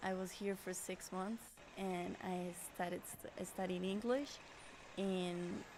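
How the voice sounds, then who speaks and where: A woman with a Colombian accent speaks at a fairly slow pace. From Colombia, Bogota. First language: Spanish. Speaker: interviewee. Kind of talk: interview. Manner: hesitant, many fillers and repeats.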